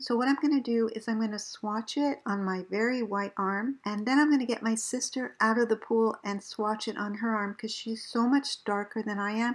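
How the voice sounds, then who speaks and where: A fairly high-pitched woman at a fairly quick pace, with fairly even intonation and hardly any pauses. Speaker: beauty vlogger. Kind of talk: product review vlog.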